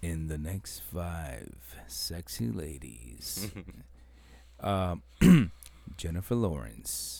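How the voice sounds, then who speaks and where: This man uses a put-on character voice, very deep and low in pitch and raspy. He talks at a very slow pace with long, frequent pauses. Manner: bombastic, teasing announcer delivery.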